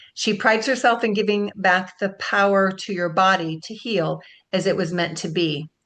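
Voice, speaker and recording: At a moderate pace, a woman with a plain, everyday voice speaks at medium pitch with ordinary pitch variation. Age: 60s. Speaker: webinar host. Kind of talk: webinar presentation. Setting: video call.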